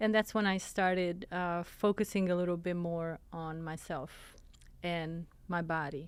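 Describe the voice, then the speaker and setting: With a very clean recording and a silent background, a woman speaks fairly slowly in an Italian accent, her pitch fairly low and her intonation fairly even. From Italy. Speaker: fitness coach. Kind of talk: interview.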